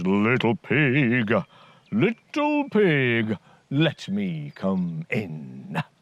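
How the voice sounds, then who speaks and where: Putting on a character voice, a man speaks loud and booming at a medium pitch and a very slow pace. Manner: menacing, calling out.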